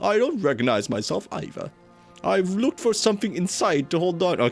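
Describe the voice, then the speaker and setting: In a put-on character voice, the speaker sounds guttural and gravelly, with very wide pitch swings at a fairly quick pace. Music plays in the background. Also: man, high pitch for a man. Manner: strained, grave.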